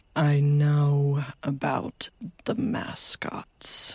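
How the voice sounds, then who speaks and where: This is a put-on character voice. Its pitch sits low-to-middle. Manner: eerie, creature-like.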